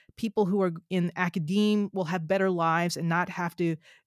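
On a very clean recording with a silent background, a woman with a normal speaking voice talks at a moderate pace and medium pitch, the sound dry and close with no echo. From New Jersey. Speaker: scientist and author. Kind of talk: interview.

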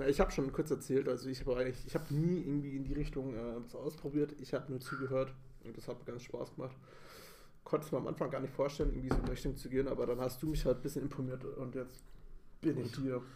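Speaking at a very fast pace, a man with a medium pitch has a dark, mellow, somewhat breathy tone and monotone, flat intonation. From Bavaria, Munich. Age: 30s. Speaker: podcast co-host. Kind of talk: casual chat. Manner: halting.

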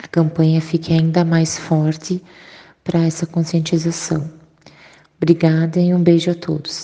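Somewhat breathy, dark, mellow tone from a woman, fairly slow with long, frequent pauses, big swings in loudness and monotone, flat intonation. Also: fairly low pitch for a woman. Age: 30s. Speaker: breast cancer survivor. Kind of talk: testimony.

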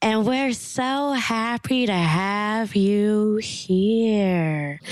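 Using a put-on character voice, a woman speaks at a very slow pace with medium pitch and ordinary pitch variation. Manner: creepy.

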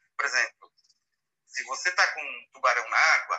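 This man talks at a moderate pace. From Brazil, São Paulo city. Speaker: wildlife and underwater photographer. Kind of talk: casual live interview. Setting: live audio room (Clubhouse), remote.

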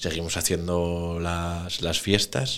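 The speaker is a man with a very deep, low pitch. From Asturias, Oviedo. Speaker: third-generation drinks distributor. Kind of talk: casual chat.

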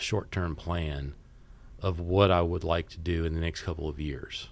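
With an American accent, a man speaks at a very deep, low pitch. His intonation is fairly even, and his pace is moderate. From US South, Mississippi Gulf Coast (Biloxi). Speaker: business owner, fundraising consultant. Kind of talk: casual interview chat.

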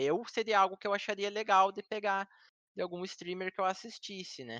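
A bright, sharp tone moves at a moderate pace. The sound is dry and close with no echo, over a quiet background. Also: man. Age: oldest of the group. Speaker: IT supervisor and gamer. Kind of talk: casual chat.

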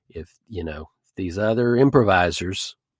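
A man with an American accent uses a plain, everyday voice with a fairly low pitch and ordinary pitch variation. The sound is dry and close with no echo, on a very clean recording with a silent background. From North Texas, Duncanville. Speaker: comedy podcast host and improviser. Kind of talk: casual interview.

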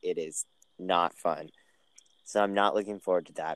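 The man talks at a moderate pace, and the sound is dry and close with no echo. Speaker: podcast co-host, college student. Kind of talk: casual chat. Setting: remote recording.

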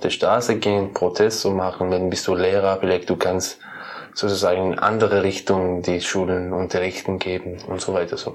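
A man with a Persian accent, very deep and low in pitch, moderately paced and monotone in intonation, over noticeable background noise. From Iran, Kermanshah. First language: Persian (speaking German). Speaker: musician and poet. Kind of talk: interview. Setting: his room. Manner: halting.

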